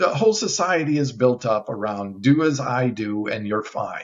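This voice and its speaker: A man speaks at medium pitch and a moderate pace, somewhat breathy, with ordinary pitch variation. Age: 60s. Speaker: bodybuilder and vegan lecturer. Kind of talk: podcast interview. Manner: animated.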